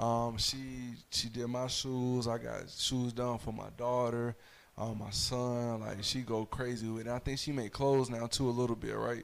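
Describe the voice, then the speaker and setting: With an American accent, a man talks at a moderate pace in a medium pitch and a monotone, flat intonation. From Fayetteville, North Carolina. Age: 20s. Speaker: spoken word poet and mentor. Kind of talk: casual chat.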